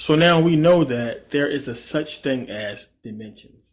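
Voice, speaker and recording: A man speaks in a somewhat breathy voice. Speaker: esoteric video creator. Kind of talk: casual video monologue.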